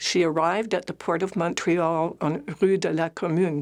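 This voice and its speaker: A woman with a Canadian accent, a normal speaking voice, fairly low-pitched, at a moderate pace over a quiet background. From Ottawa, Canada. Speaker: retired family physician. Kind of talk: personal memoir talk.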